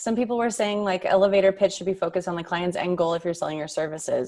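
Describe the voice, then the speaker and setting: Here a woman speaks at a medium pitch. Her pitch varies in an ordinary way. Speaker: summit host. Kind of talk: live Q&A moderation. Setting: video call. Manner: fast.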